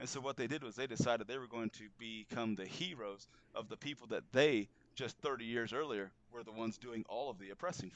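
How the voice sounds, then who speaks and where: The speaker talks at a fairly quick pace with ordinary pitch variation. Loudness swings widely. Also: man, medium pitch for a man. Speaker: author and entrepreneur. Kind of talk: political talk show interview. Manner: fast; animated.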